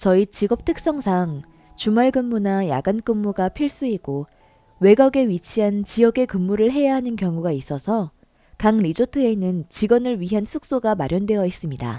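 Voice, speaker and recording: Music plays in the background while a woman speaks at medium pitch and a moderate pace. Her pitch swings very widely, and the sound is dry and close with no echo. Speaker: story narrator. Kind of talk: reader-submitted story narration.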